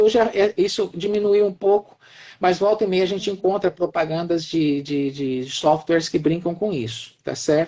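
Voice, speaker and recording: This is a man talking. His intonation is lively. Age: 60s. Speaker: professor. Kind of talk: live-stream discussion. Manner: halting, repeats words.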